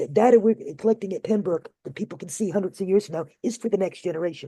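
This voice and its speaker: Talking at a very fast pace, a woman has a dark, mellow tone and ordinary pitch variation. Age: 60s. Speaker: sex worker rights activist. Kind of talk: memorial event speech.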